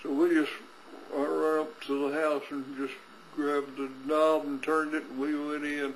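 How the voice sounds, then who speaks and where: A man with a fairly high pitch talks at a moderate pace in a monotone, flat intonation. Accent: West Texas. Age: 80s+. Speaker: farmer and rancher. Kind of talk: personal recollection.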